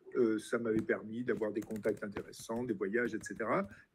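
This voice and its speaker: Here a man talks in a normal speaking voice with ordinary pitch variation. His pace is moderate. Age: 60s. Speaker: retired biology teacher and party president. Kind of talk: interview. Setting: live-streamed event with audience.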